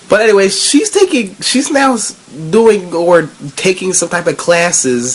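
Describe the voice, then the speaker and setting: Noticeable noise sits in the background. The talking proceeds very slowly. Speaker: anime reviewer. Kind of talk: casual talk to camera. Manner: casual, rambling.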